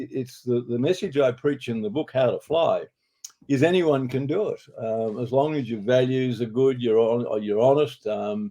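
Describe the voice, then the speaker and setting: Speaking at a moderate pace with an Australian accent, a man uses a medium pitch, a dark, mellow tone and ordinary pitch variation. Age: 80s+. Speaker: advertising executive and author. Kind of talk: interview. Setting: studio.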